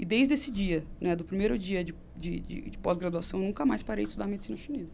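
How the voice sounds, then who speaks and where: With audible room echo, a woman speaks at a fairly quick pace in a fairly low pitch with vocal fry. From Brazil, Campinas (São Paulo state). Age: 30s. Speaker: nutritionist and traditional Chinese medicine teacher. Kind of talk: casual interview chat.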